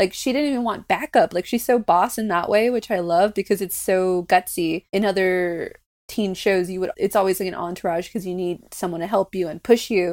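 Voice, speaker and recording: A woman with a plain, everyday voice speaks at a medium pitch and a fairly quick pace, with ordinary pitch variation, hardly any pauses and a dry, close sound with no echo. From US, Mexican American family. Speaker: podcast co-host. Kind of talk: casual chat.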